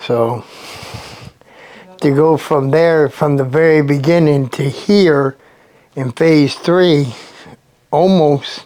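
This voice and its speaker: A man with an American accent, fairly high pitch, a very slow pace and fairly even intonation. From New Jersey. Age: 60s. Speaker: recovery program resident. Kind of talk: interview testimony. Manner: casual, filler-heavy.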